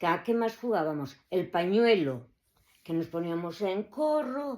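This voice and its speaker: A woman speaks at a very slow pace, her pitch medium. Her tone is dark and mellow, with lively intonation. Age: 70s. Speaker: grandmother recalling childhood. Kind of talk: oral history recollection. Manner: halting, many fillers.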